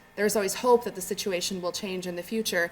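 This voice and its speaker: With noticeable background noise behind her, a woman speaks at a medium pitch with fairly even intonation. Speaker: academic researcher. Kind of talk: conference presentation. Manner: soft-spoken; halting, with fillers and repetitions.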